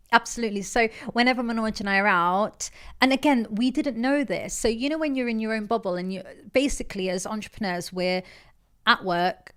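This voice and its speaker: In an East Midlands accent, a woman speaks quickly-ish with an animated tone, a fairly high pitch and ordinary pitch variation. The recording is very clean, with a silent background. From England, Leicester. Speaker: entrepreneur. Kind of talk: podcast interview. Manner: loud.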